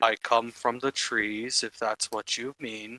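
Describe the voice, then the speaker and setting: A man uses a put-on character voice at medium pitch, delivered in a monotone, flat way at a fairly slow pace. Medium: actual play.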